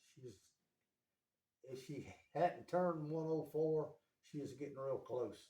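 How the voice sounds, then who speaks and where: Somewhat breathy and dark, mellow in tone, a man with an Appalachian accent talks at a fairly slow pace with long, frequent pauses and ordinary pitch variation. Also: fairly high pitch for a man. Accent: Appalachian US Southern. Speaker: interviewee, family elder. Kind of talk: casual interview.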